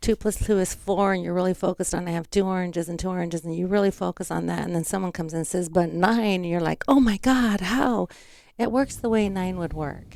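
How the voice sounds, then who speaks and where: The speaker has a plain, everyday voice. Pitch moves up and down by ordinary amounts. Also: woman. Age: 60s. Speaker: cleaning business owner and author. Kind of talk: interview.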